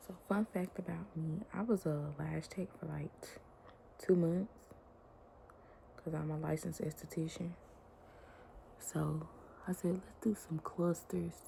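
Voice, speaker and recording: A quiet woman's voice at a fairly slow pace, with big swings in loudness and long, frequent pauses. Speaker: beauty vlogger, licensed esthetician. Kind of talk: casual chat while doing makeup. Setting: at home, toddler sleeping.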